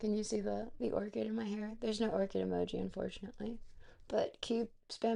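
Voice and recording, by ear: Written text is being read aloud. A natural voice carries it.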